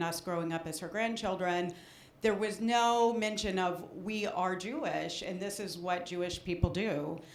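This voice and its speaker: Audible room echo surrounds a woman of medium pitch who talks at a fairly slow pace with ordinary pitch variation. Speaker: audience member. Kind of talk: audience share at a talk. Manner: halting, many fillers.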